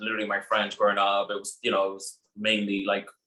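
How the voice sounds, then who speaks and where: This is a man speaking with a Spanish accent. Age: 20s. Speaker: ballroom performer. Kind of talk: panel discussion.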